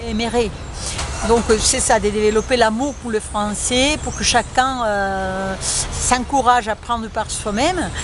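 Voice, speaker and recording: A woman at a fairly high pitch, fairly slow, with ordinary pitch variation and noticeable background noise. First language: Spanish (speaking French). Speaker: French teacher. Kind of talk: interview. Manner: halting, many fillers.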